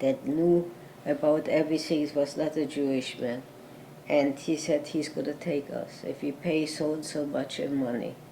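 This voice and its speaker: A woman's very deep, low voice with a German accent, fairly even intonation and a moderate pace, plus noticeable background noise. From Germany (Berlin). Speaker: Holocaust survivor. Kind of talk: interview answer.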